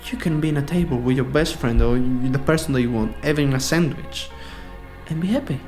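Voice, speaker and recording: Over music in the background, a man speaks at a fairly quick pace with an Italian accent. His pitch is fairly high and his intonation fairly even. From Sicily, Italy. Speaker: professional dancer. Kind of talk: podcast interview answer.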